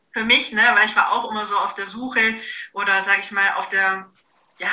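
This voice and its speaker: At a moderate pace, a woman speaks in a normal speaking voice with a fairly high pitch. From Bavaria, Augsburg. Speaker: nutrition and fitness coach. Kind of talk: casual interview.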